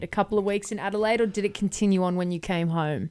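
A woman speaks at a medium pitch in an Australian accent. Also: very clean recording, silent background. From Brisbane, Australia. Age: 20s. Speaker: podcast host. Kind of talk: casual interview.

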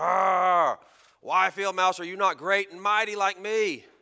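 A man bellows loudly in a put-on character voice pitched high. He goes at a fairly slow pace. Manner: roaring, boastful.

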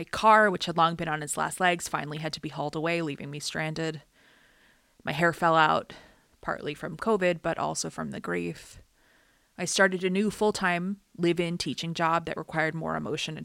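A plain, everyday voice moves at a fairly quick pace with ordinary pitch variation. The recording is very clean, and the background is silent. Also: woman. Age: 30s. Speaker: artist and podcaster. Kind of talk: scripted personal essay narration.

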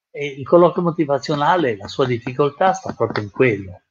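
Somewhat breathy and fairly high-pitched, a man talks with very wide pitch swings. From Italy, Genoa. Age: 80s+. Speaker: retired psychiatrist and trainer. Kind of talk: interview. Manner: halting, with frequent repetitions.

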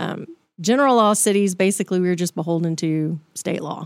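A woman with a Texan accent speaks at a moderate pace and medium pitch with ordinary pitch variation, in a very clean recording with a silent background and a dry, close sound with no echo. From Texas, Dallas area. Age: 40s. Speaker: city mayor. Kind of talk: casual interview.

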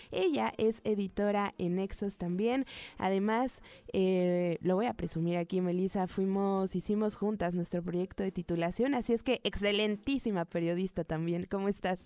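A woman talks at a medium pitch with ordinary pitch variation and a dark, mellow tone. The recording is very clean, with a silent background. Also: moderate pace, very even loudness. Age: young. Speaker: radio host. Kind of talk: radio interview. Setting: studio.

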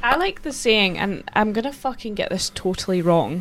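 A woman talks at a moderate pace with a Scottish Borders accent. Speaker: podcast co-host. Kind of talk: casual chat.

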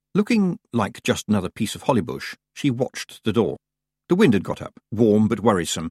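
The background is quiet as the text is read aloud in a natural voice.

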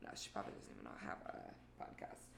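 Audible room echo surrounds a woman speaking at a very fast pace. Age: 20s. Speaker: podcast host. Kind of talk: personal storytelling monologue. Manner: casual and chatty.

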